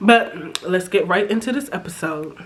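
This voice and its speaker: Amid noticeable background noise, a woman speaks at a fairly slow pace in an animated tone with lively intonation. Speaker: YouTuber reality TV reviewer. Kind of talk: casual recap commentary.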